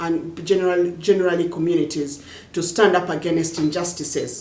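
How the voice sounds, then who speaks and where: Over noticeable background noise and audible room echo, a woman speaks at a moderate pace with a fairly low pitch. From Uganda, Luo-speaking village. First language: Jopadhola (Luo language). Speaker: poet and social activist. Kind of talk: interview monologue. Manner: halting, frequent repetitions.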